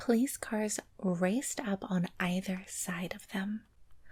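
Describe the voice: The intonation is held fairly even. What you hear is plain reading aloud.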